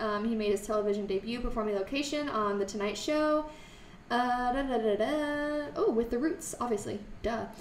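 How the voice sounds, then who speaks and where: At a moderate pace, a woman speaks in a high pitch with ordinary pitch variation, amid audible room echo and light background noise. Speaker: music podcast co-host. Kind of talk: reading aloud. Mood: jokey, relaxed. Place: studio.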